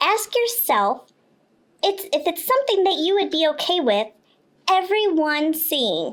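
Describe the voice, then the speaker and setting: A cartoonish character voice moves at a moderate pace. Long pauses come often. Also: woman, extremely high pitch for a woman. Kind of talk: kids' educational podcast explanation. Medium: puppet.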